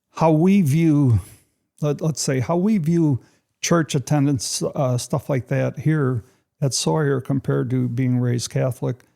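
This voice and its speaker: A man with a Chicago accent speaks at a fairly slow pace in a fairly high pitch, with ordinary pitch variation and a dark, mellow tone. His loudness is very even, and the very clean recording has a silent background and a dry, close sound with no echo. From US Midwest, Chicago west side. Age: 70s. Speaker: church member sharing testimony. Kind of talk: testimony. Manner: conversational, with fillers.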